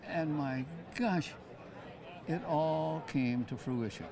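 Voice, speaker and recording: A man speaks in an American accent at a fairly high pitch with ordinary pitch variation. Noticeable background noise is present. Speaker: war veteran. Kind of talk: interview answer. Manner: casual, reminiscing.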